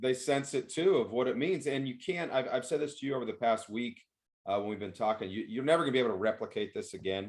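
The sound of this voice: A man speaks at a fast pace. His pitch is medium and varies in an ordinary way.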